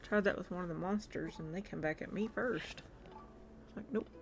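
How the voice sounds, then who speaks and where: With a Southern US accent, a woman talks at a fairly quick pace, her medium pitch showing ordinary pitch variation. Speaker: video game streamer. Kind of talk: casual live-stream gameplay chat. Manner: animated.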